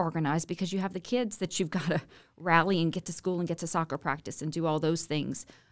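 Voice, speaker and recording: Speaking fairly quickly in a Louisiana accent, a woman with a fairly low pitch is heard on a very clean recording with a silent background. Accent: Louisiana Southern US. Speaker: state legislator. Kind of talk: casual interview.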